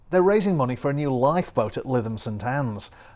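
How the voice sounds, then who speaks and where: The intonation is lively in an unremarkable speaking voice. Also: man. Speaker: TV reporter. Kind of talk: local TV news report.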